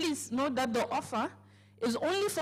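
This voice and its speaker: A woman speaks in an African accent at a moderate pace. Her pitch swings very widely. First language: African language. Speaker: company speaker at business launch. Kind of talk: sales pitch. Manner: hesitant, filler-heavy.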